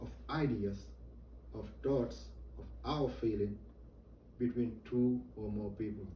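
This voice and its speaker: Amid audible room echo, a man with a non-native accent speaks at a very slow pace with long, frequent pauses. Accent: noticeable non-native. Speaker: soldier giving a briefing. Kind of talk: military training briefing. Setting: virtual, indoor.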